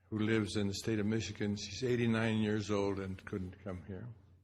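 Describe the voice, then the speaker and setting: A man's fairly low, monotone voice with flat intonation and audible room echo. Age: 80s+. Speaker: speaker at memorial symposium. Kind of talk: personal reminiscence speech. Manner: halting.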